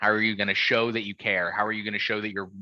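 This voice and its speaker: A man speaks at a very fast pace in a medium pitch with a bright, sharp tone. The sound is dry and close with no echo, over a quiet background. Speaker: startup finance advisor. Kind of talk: presentation.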